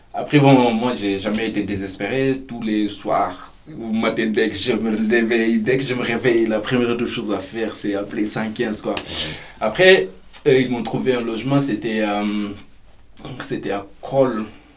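A man of medium pitch talks at a fairly slow pace. Audible room echo and noticeable background noise surround him. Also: fairly even intonation. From Mauritania. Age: 20s. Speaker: migrant, volunteer. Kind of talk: interview testimony. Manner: hesitant, lots of fillers.

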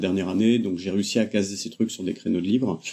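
Dark and mellow in tone, a man's fairly low voice moves at a fairly quick pace. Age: 30s. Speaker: web developer, former philosophy teacher. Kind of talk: casual interview. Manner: hesitant, many fillers.

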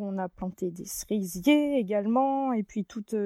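A woman speaks at medium pitch with a dark, mellow tone and ordinary pitch variation. The sound is dry and close with no echo, on a very clean recording against a silent background. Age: 30s. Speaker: farmer and miller. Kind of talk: interview monologue. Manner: hesitant, many fillers.

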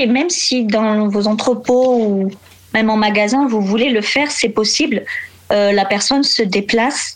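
Noticeable background noise around a woman's fairly high-pitched voice. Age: 20s. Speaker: warehouse logistics worker. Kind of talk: casual interview.

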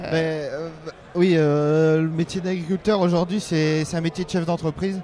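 Speaking at a fairly slow pace, a man uses a high pitch and monotone, flat intonation. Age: 30s. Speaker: livestock and crop farmer. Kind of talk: interview. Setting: busy trade fair stand. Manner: halting.

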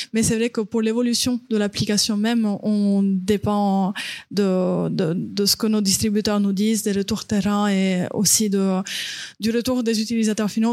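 At a fairly slow pace, a woman speaks at medium pitch in a dark, mellow tone with monotone, flat intonation. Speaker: startup founder. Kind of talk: panel discussion.

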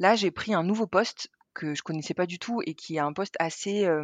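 Over a quiet background, a woman speaks at a moderate pace, with medium pitch and ordinary pitch variation. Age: 30s. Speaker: treasury manager. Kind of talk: testimony. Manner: halting.

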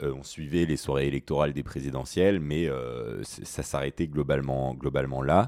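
Dark and mellow in tone, a man talks at a moderate pace with ordinary pitch variation in a very clean, silent-background recording that sounds dry and close with no echo. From Alsace, France (Mulhouse). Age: 20s. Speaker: student climate activist. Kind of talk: interview conversation. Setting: at guest's home. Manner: hesitant, repeats words.

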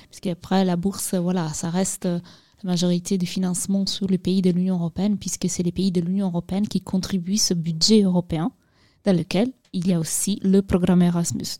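A woman with a non-native accent speaks at a medium pitch and moderate pace in a flat monotone, her voice somewhat breathy with a dark, mellow tone, on a very clean, dry, close recording with no echo and a silent background. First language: not French (speaking French). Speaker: youth outreach coordinator at association. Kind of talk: studio interview, informative explanation.

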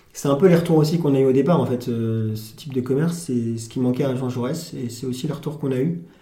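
A very fast, somewhat breathy voice with a dark, mellow tone and ordinary pitch variation, in audible room echo. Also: man, medium pitch for a man. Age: 20s. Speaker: farm shop owner. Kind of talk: casual interview.

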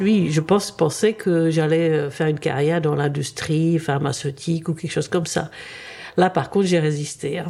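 Fairly low in pitch, a woman's voice proceeds at a fairly slow pace with fairly even intonation. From Czechoslovakia (Prague), then Paris. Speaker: retired biologist. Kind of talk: interview, personal story. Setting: studio. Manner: halting, repeats words.

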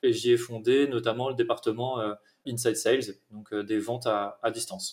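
Using an ordinary speaking voice, a man talks at a medium pitch with fairly even intonation. His pace is fairly slow. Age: 30s. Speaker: head of sales. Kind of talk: interview.

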